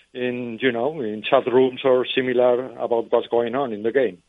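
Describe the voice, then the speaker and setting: The speaker has a Spanish accent. The intonation stays monotone and flat. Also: man. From Spain. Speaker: fan club leader. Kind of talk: phone interview. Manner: halting.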